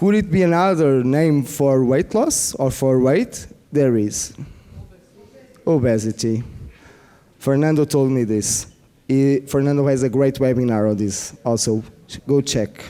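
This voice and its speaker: Man with a non-native accent, medium pitch and ordinary pitch variation, very even loudness, fairly slow pace with long, frequent pauses, noticeable background noise. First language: not English. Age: 40s. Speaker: biofeedback practitioner. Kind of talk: conference workshop presentation. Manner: halting; animated.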